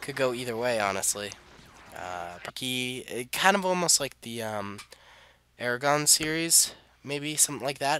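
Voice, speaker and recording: Amid noticeable background noise, a man speaks at a fairly slow pace with lively intonation. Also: medium pitch for a man. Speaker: gaming youtuber. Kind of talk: gameplay commentary. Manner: hesitant, many fillers.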